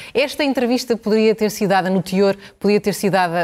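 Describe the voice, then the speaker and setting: At a moderate pace, a woman with a plain, everyday voice speaks with ordinary pitch variation. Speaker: TV news anchor. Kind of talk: televised political debate moderation.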